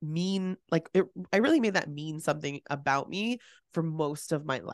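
An animated woman with a Californian accent, fairly low pitch, lively intonation and a moderate pace, in a dry, close sound with no echo over a quiet background. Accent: Californian American. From San Francisco Bay Area. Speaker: business coach. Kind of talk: casual interview.

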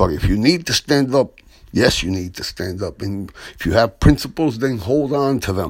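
A man with an unremarkable speaking voice talks at a moderate pace and medium pitch, with lively intonation. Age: 60s. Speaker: radio host and former teacher. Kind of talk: radio commentary.

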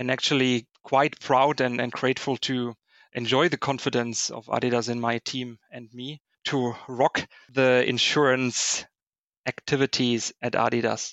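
In a German accent, a man speaks fairly slowly at a medium pitch with monotone, flat intonation. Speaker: corporate risk finance director. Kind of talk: interview.

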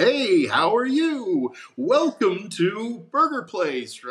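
A put-on character voice delivered at a very slow pace. The pitch swings very widely. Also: man, high pitch for a man. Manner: extremely friendly, cheerful.

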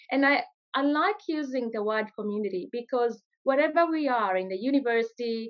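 A woman's high-pitched voice with lively intonation at a moderate pace. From Kenya. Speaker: entrepreneur. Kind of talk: interview.

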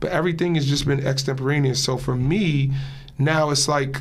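With an American accent, a man speaks at a moderate pace in a fairly high, somewhat breathy voice, with audible room echo. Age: 40s. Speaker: show basketball player and media host. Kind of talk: casual interview.

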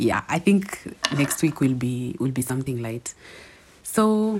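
A woman's quiet voice at a moderate pace with lively intonation. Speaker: podcast host. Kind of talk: casual monologue. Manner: quiet, low.

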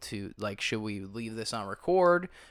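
A man with a normal speaking voice talks at a fairly slow pace and medium pitch. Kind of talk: casual chat. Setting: home living room recording. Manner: casual, joking.

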